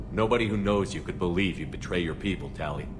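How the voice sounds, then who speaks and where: Loud background noise sits behind a man using a put-on character voice. He speaks very fast at a very deep, low pitch. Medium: video game. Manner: calm, steady.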